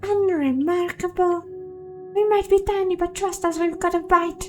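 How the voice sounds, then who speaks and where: In a put-on character voice, squeaky and extremely high-pitched, the speaker goes at a moderate pace over clear background noise. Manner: cheeky, boastful.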